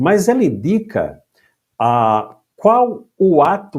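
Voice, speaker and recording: A man's voice with very wide pitch swings on a very clean recording against a silent background. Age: 60s. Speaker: retired judge. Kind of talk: interview.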